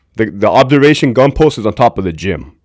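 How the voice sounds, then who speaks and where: On a very clean recording with a silent background, a man with an American accent speaks loudly at a moderate pace. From Southern California. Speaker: former prison guard and livestream host. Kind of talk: livestream commentary. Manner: casual, conversational.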